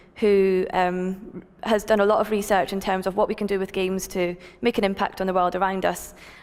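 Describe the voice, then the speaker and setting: A woman of medium pitch speaks with a Scottish accent in a monotone, flat intonation. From Scotland. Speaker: tech company founder, conference speaker. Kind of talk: conference talk. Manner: fast.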